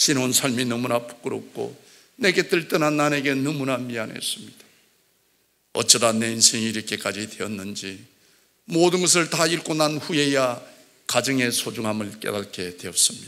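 A man with a Gyeongsang accent talks at a moderate pace and medium pitch. His tone is bright and sharp, his intonation lively. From South Gyeongsang, Korea (Jinju); South Gyeongsang, Korea. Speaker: church elder giving testimony. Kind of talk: testimony. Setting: church. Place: church. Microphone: podium.

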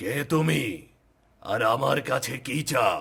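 A man puts on a cartoonish character voice. It sounds raspy, at a medium pitch. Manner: imperious, commanding.

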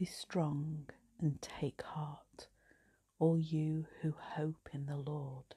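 Against a quiet background, a soft-spoken woman with an English accent speaks at a very slow pace in a very deep, low pitch, her dark, mellow tone somewhat breathy and her intonation monotone and flat. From England. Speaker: priest. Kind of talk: night prayer service, compline liturgy read aloud and prayed. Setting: home, live online video. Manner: soft, slow and hushed; fervent, tender, reverent. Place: home room. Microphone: phone near.

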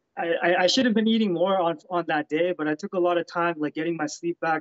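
Fairly quick speech from a man with a high pitch and ordinary pitch variation over a quiet background. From Canada. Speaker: professional MMA fighter; interviewee. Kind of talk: interview. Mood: relaxed, upbeat. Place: home room. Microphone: video call.

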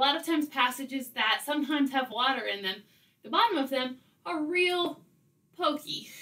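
Using a raised, projected voice, a woman speaks at a moderate pace with lively intonation. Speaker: caving vlogger. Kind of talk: casual vlog storytelling. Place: home room.

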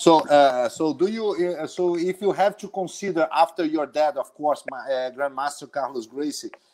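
Here a man with an unremarkable speaking voice talks at a fairly high pitch with ordinary pitch variation, at a moderate pace with hardly any pauses. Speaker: jiu-jitsu instructor. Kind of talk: casual live interview. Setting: video call.

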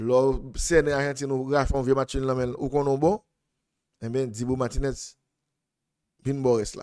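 Over a quiet background, the speaker goes at a very slow pace with a Haitian accent, fairly even intonation, and long, frequent pauses. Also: man, medium pitch for a man. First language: Haitian Creole (speaking French). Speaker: football analyst. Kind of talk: sports analysis monologue. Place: studio. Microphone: studio mic.

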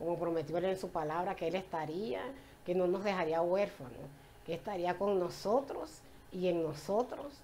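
With light background noise, a woman talks at a moderate pace in a fairly low pitch with ordinary pitch variation. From Venezuela, Puerto La Cruz (eastern coast); Venezuela. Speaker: church member giving testimony. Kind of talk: personal faith testimony in church. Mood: warm, joyful, faith-filled. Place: home room.

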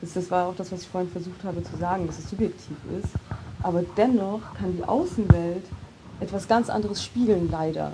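A woman talks at a fairly quick pace and medium pitch, with fairly even intonation and big swings in loudness. Background noise is noticeable. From Heilbronn, Germany; Germany. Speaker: poet and social scientist; poet. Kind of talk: panel discussion. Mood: calm, thoughtful. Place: studio. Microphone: lapel.

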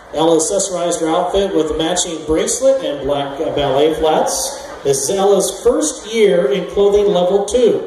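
Audible room echo and light background noise surround a man speaking at a moderate pace in a high pitch. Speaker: show announcer. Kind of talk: scripted event announcement. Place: tent.

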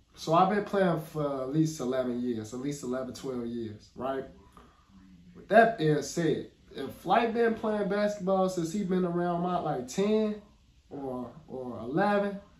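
A man speaks at a very slow pace with big swings in loudness, and audible room echo surrounds his voice. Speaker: reaction video host. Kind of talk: casual reaction commentary. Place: home room.

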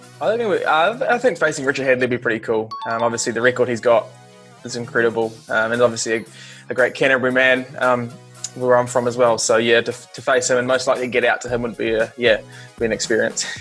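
Talking at a very fast pace, a man keeps a fairly even intonation. Faint music plays in the background. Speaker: interviewee. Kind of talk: interview answer. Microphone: earbuds.

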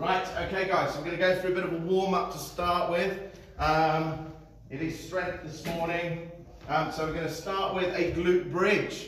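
With a high pitch and monotone, flat intonation, a man talks at a moderate pace amid audible room echo and light background noise. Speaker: fitness instructor. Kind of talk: exercise class instruction. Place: gym. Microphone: camera far.

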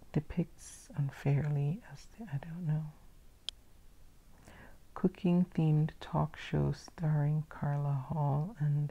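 This soft-spoken voice moves at a very slow pace, broken by long, frequent pauses. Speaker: ASMR video creator. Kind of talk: casual talk to camera, relaxed crossword-solving commentary. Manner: soft-spoken, relaxing.

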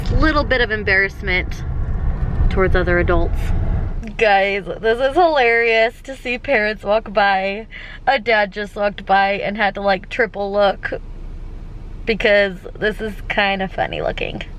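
A woman speaks fairly slowly, leaving long, frequent pauses, with ordinary pitch variation. The sound is dry with no echo, and there is light background noise. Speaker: family vlogger. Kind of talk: casual vlog chat. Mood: amused, slightly embarrassed. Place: car. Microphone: phone near.

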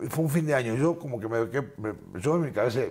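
With an Argentine accent, a man speaks fairly quickly in a lively intonation. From Argentina. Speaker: musician; guest. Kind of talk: interview. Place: studio. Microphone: lapel.

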